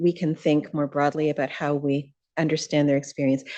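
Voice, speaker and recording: A soft-spoken woman has a dark, mellow tone. She speaks at a moderate pace over a quiet background. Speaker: audience member at a panel. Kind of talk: audience comment at a panel Q&A.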